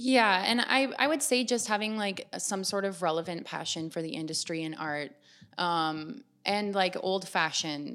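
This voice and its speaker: In a plain, everyday voice, a woman speaks at a medium pitch and moderate pace with lively intonation, recorded very cleanly over a silent background. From Canada, Ontario (small town west of Toronto). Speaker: model agent and former model. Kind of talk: interview.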